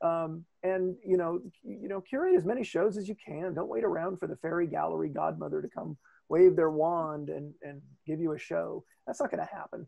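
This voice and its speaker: A man at a fairly quick pace, with big swings in loudness, a dry sound with no echo, and a quiet background. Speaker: gallery emcee. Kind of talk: commentary on video call. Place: home room. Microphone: earbuds.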